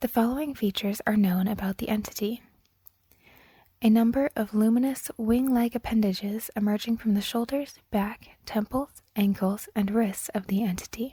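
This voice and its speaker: A soft-spoken woman talks at a moderate pace in a fairly high pitch, her tone dark and mellow and somewhat breathy. Her intonation stays fairly even, and the sound is dry and close with no echo. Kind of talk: ASMR story reading.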